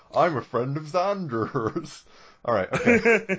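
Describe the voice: A fairly slow, high-pitched put-on character voice from a man.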